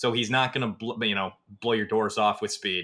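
With an American accent, a man with an unremarkable speaking voice talks in a medium pitch with fairly even intonation. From Northwest Iowa. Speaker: sports recruiting analyst and podcast host. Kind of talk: casual sports podcast chat.

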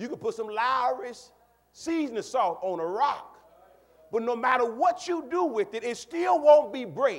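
This man's voice sits extremely high and swings very widely in pitch at a fairly slow pace. Noticeable background noise runs underneath. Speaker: pastor. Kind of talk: sermon. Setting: church.

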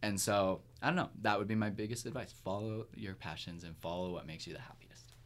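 Here a man has a normal speaking voice, fairly low in pitch, with ordinary pitch variation and big swings in loudness. He talks at a fairly quick pace with hardly any pauses. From Kingston, Ontario, Canada. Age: 30s. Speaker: musician. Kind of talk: casual interview chat. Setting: studio.

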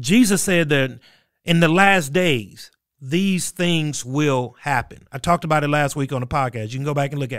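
On a very clean recording with a silent background, a man with a fairly high pitch speaks in an unremarkable speaking voice with ordinary pitch variation. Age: 40s. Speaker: pastor and podcast host. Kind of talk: solo podcast commentary. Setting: studio.

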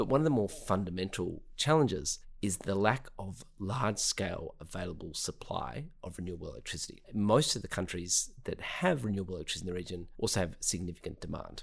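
A man with an Australian accent, fairly low-pitched, lively intonation, a fairly quick pace and hardly any pauses. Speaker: clean energy company co-founder. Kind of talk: interview.

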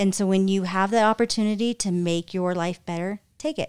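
Recorded very cleanly against a silent background, with a dry, close sound and no echo, a woman with an American accent talks at a moderate pace and medium pitch with fairly even intonation in an unremarkable speaking voice. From California. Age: 40s. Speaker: event planner and marketing director. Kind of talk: casual chat.

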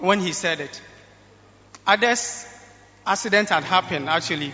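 A man's voice, high in pitch, comes through with noticeable background noise around it. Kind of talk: live testimony to a congregation, recounting a near-miss. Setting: church stage with audience. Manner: plain, conversational, a bit halting, grateful.

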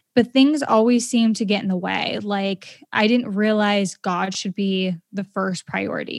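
With an American accent, a woman speaks in an ordinary speaking voice at medium pitch, her intonation fairly even and the sound dry and close with no echo. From Maine, US. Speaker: podcaster and entrepreneur. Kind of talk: casual interview.

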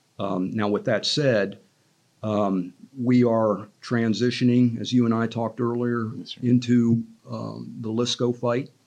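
A man's normal speaking voice at medium pitch, fairly slow in pace, with fairly even intonation. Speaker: retired army general, training mentor. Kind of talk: interview podcast.

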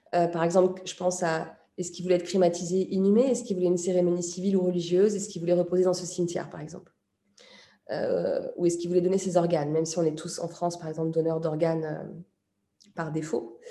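Talking at a very fast pace, a woman with a fairly low, dark, mellow voice keeps her intonation fairly even while her loudness swings widely. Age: 40s. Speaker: journalist and author. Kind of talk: interview.

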